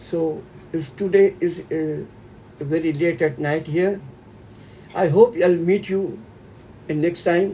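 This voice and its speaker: Speaking at a very slow pace with long, frequent pauses, the voice carries an Indian accent and fairly even intonation. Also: man, high pitch for a man. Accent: Indian accent, self-noted. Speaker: homeopathy teacher. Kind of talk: webinar closing remarks.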